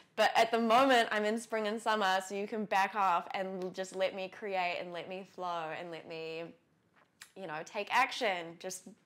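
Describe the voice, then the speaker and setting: A woman with a New Zealand accent speaks at a moderate pace in a medium pitch. Her intonation is fairly even, with big swings in loudness. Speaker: lifestyle vlogger. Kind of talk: casual vlog talk to camera. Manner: chatty, many fillers.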